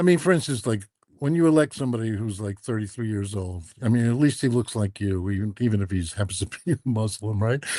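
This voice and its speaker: Against a quiet background, a man with a New York accent talks very fast at a fairly low pitch, his intonation lively. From New York City (Queens). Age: 70s. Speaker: author. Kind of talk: interview conversation. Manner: halting.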